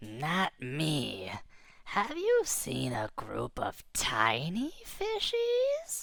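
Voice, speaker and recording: Delivered at a very slow pace, this is a put-on character voice. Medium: read story. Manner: blunt, menacing.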